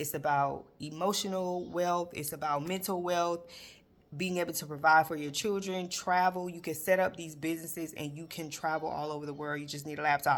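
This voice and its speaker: A woman's very deep, low voice, fairly quick and flat in intonation, with big swings in loudness. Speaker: financial educator and bookkeeper. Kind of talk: casual talk to camera. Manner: fast.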